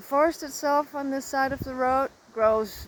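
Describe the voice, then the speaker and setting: Speaking with a Danish accent, a woman talks at a very slow pace in a relaxed, calm tone with lively intonation. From Denmark. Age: 60s. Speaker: nature vlogger. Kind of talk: casual vlog narration. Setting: outdoors in a forest.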